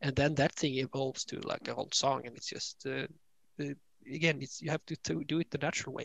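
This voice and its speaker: The voice races along at a very fast pace with vocal fry and monotone, flat intonation. The sound is dry and close, with no echo. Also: man, fairly high pitch for a man. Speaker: musician. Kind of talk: casual interview.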